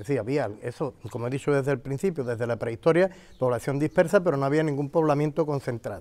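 A man talks at a very fast pace with a fairly high pitch. His tone is dark and mellow, with ordinary pitch variation. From Andalusia. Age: 60s. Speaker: local historian and retired teacher; interviewee. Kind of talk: interview explanation of local history; interview answer. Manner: halting, with many fillers. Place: garden. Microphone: lapel.

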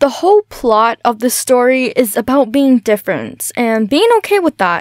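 The sound is dry, with no echo, and the background is quiet. Delivery moves at a moderate pace. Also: woman. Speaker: voice actor. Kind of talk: casual talk about own story series. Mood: earnest, reflective. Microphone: studio mic.

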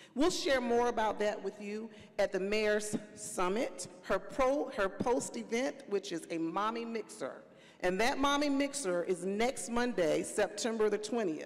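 A woman at a fairly slow pace, her intonation lively. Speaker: panel moderator. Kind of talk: panel remarks. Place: stage. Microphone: handheld.

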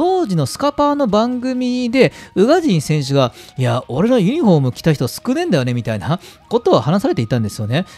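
Through noticeable background noise, a man talks at a fairly quick pace with very wide pitch swings. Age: 30s. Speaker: football fan channel host. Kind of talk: casual solo commentary.

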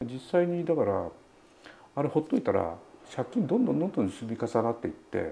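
A man's dark, mellow voice with vocal fry, very wide pitch swings and a fairly quick pace over light background noise. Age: 70s. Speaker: writer and political candidate. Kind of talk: interview answer. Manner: casual, talkative. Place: home room.

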